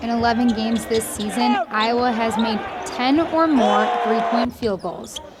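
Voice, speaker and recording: A woman speaks at a fairly high pitch and a fairly slow pace. Noticeable background noise is present. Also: ordinary pitch variation. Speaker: sports reporter. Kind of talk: sports news report.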